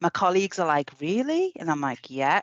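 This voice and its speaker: In a Liverpool accent, a woman talks with a fairly low pitch. The sound is dry and close with no echo, over a quiet background. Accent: Scouse. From Liverpool, England. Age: 50s. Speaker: health service employee. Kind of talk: casual chat.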